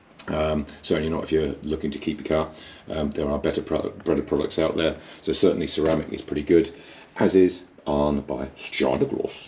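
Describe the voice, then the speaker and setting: A man's very deep, low pitch, somewhat breathy, with monotone, flat intonation. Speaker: mobile car detailer. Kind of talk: casual product talk to camera. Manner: halting, many fillers (um, uh).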